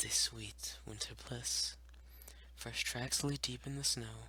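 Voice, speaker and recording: A man's very deep, low voice with vocal fry and a bright, sharp tone, delivered at a very slow pace in monotone, flat intonation. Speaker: ASMR creator. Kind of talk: ASMR poetry reading. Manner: whispered, soft-spoken.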